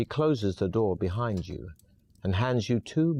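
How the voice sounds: A natural reading voice, lively in its intonation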